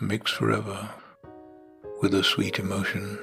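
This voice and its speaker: Over music in the background, a man talks at a fairly slow pace with a fairly low pitch. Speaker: poetry reader. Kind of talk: poetry reading. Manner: emotive.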